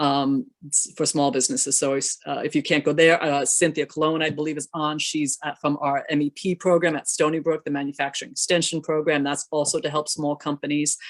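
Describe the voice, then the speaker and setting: A woman with a very deep, low pitch speaks fairly quickly in monotone, flat intonation, with a dry, close sound and no echo. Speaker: state economic development official. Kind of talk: panel discussion. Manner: fast.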